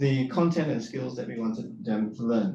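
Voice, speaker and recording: With a Singaporean accent and lively intonation, a man speaks amid noticeable background noise and audible room echo. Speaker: university lecturer and soil scientist. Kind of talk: conference presentation. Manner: hesitant, many fillers.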